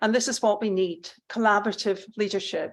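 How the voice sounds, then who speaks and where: Recorded very cleanly with a silent background, a woman speaks in a Scottish accent. Her intonation is monotone and flat, at a moderate pace. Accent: Scottish, still noticeable. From Scotland. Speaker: public health professor. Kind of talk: conference speech. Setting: conference hall with audience.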